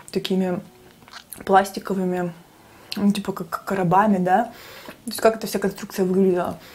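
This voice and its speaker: A woman is speaking. Her pace is moderate. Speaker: mukbang vlogger. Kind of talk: casual storytelling vlog chat. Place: kitchen.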